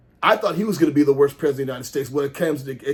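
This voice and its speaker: A man speaks in an animated tone. His voice is somewhat breathy. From US South, Jackson, Mississippi. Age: 60s. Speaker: pastor and political commentator. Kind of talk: opinion rant to camera. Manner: animated, repetitive and halting.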